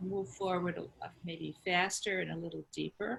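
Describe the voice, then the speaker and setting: Fairly slow in pace, a woman speaks at a fairly low pitch. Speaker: cancer survivor and holistic cancer coach. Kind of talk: interview. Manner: calm.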